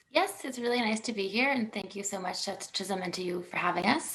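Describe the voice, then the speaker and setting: Someone speaks at a very fast pace with a Canadian accent. Noticeable background noise runs under the voice. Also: woman. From Toronto, Canada. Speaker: head of operations at a foundation. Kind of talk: panel discussion.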